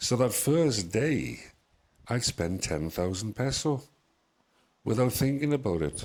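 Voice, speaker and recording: A man's medium-pitched voice with very wide pitch swings, a fairly slow pace and long, frequent pauses. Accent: British. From UK. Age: 60s. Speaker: expat interviewee. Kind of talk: interview storytelling.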